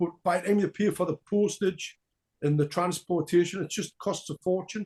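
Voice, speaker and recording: In a Geordie accent, a high-pitched man speaks at a moderate pace with fairly even intonation, the sound dry and close with no echo. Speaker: punk band frontman. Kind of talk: interview.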